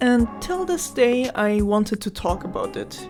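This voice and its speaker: A woman's fairly high voice with lively intonation at a fairly slow pace, music in the background. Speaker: gaming video creator. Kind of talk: game review narration. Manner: shaky.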